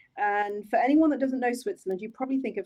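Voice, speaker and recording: In an English accent, a woman speaks with a dark, mellow tone. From England, Oxford. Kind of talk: interview.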